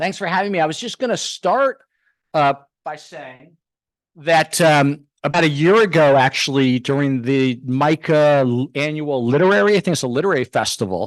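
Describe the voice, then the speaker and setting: A man with an American accent, lively intonation and a moderate pace, dry close sound with no echo, quiet background. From US West Coast, Los Angeles. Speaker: historian and professor giving a book talk. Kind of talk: lecture. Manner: loud; halting, many fillers.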